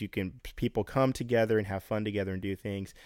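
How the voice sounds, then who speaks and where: This man has an ordinary speaking voice, fairly low in pitch with ordinary pitch variation and a fairly quick pace. The recording is very clean and dry, close with no echo and a silent background. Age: 30s. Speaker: podcast co-host. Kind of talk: casual chat.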